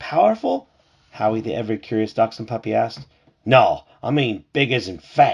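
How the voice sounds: A natural reading voice. The pitch moves in an ordinary way.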